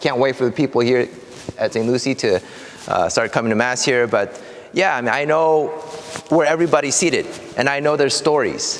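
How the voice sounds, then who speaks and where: Amid noticeable background noise, a man with a Korean accent talks at a fairly quick pace, with long, frequent pauses, very even loudness, and ordinary pitch variation. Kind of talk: casual interview chat. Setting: walking from the sacristy, then driving. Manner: hesitant, many fillers.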